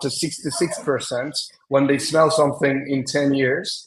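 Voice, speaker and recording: Audible room echo surrounds a man with a Turkish accent who speaks at a moderate pace and a fairly high pitch. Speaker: semiotician and design strategist. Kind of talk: conference presentation. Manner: hesitant, with many fillers.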